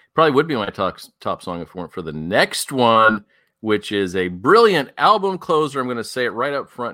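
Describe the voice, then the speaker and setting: In a very clean recording with a silent background, a man talks at a fairly quick pace and medium pitch, his bright, sharp tone marked by vocal fry and very wide pitch swings. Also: hardly any pauses, big swings in loudness. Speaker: podcast host. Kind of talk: casual chat.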